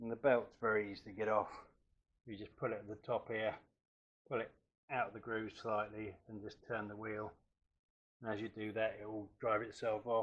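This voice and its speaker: Monotone and flat, the speaker uses an English accent at a moderate pace with long, frequent pauses. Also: man, fairly low pitch for a man. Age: 60s. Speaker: DIY workshop vlogger. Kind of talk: tutorial. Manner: casual.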